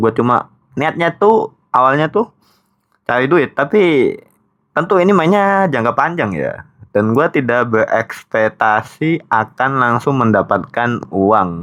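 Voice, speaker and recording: Very wide pitch swings in a man's fairly slow delivery. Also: medium pitch for a man. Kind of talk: casual, colloquial.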